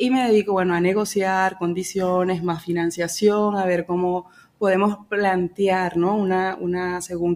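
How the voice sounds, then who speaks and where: The speaker has a Venezuelan accent and monotone, flat intonation. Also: woman. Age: 30s. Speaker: financial broker. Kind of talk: interview. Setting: office.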